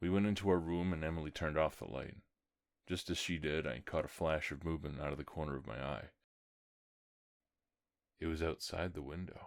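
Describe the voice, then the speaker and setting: A man with a very deep, low voice and vocal fry uses fairly even intonation and long, frequent pauses in a very clean recording with a silent background. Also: fairly quick pace. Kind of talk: horror story reading.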